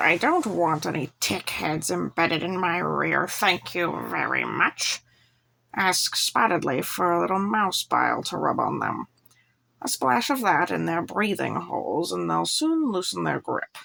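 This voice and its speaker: A woman puts on a raspy, growling character voice. She keeps a moderate pace. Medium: read story. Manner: snappish, growling.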